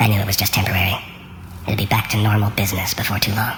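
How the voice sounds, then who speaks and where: A man puts on a character voice at a fairly low pitch, talking at a very fast pace over clear background noise. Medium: machinima. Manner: terse, gravelly, world-weary.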